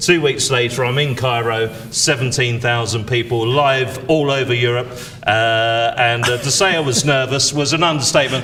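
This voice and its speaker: A man with an English accent talks at a moderate pace. Room echo is audible, and background noise is noticeable. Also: medium pitch for a man, fairly even intonation. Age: 60s. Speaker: auctioneer. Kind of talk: live auction presenting.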